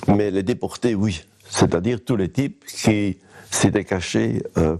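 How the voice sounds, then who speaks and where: Noticeable background noise sits behind a man with a very deep, low pitch. He keeps a moderate pace and ordinary pitch variation. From Belgium, Limbourg near Verviers (Liège province). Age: 80s+. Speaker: urban sociologist. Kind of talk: interview testimony. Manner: hesitant, many fillers and repetitions.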